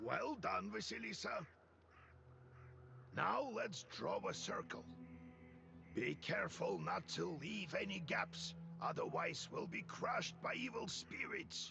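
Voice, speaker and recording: In a raspy, put-on character voice, the speaker goes at a fairly slow pace with long, frequent pauses and very even loudness over clear background noise. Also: man. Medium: video game. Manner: gruff, commanding.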